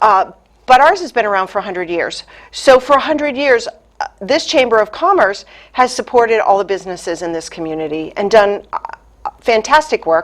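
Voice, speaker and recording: In a Boston accent, a woman with a fairly high pitch talks at a fairly quick pace, her pitch swinging very widely. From US Northeast, Boston area. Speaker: chamber of commerce president. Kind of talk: interview. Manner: hesitant, many fillers.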